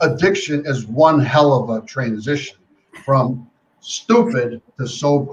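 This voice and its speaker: Somewhat breathy and fairly high in pitch, a man talks with ordinary pitch variation. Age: 70s. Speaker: life coach. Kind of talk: interview.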